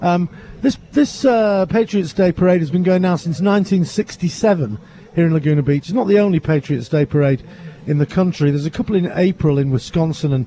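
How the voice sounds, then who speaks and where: Speaking in a British accent at a fairly quick pace, a man uses a high pitch with lively intonation and very even loudness. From England. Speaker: radio host. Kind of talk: live commentary. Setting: standing in a window above the street.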